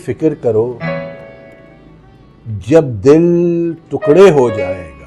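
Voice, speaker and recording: Music plays behind a man's voice. His pitch swings very widely. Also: big swings in loudness. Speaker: voice trainer. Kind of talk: poetry reading. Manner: expressive, emotional.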